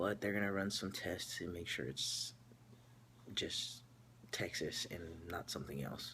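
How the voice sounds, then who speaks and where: With vocal fry and a fairly low pitch, a man speaks at a fairly slow pace, leaving long, frequent pauses. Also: ordinary pitch variation. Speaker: vlogger. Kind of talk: personal video update. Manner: halting, many fillers.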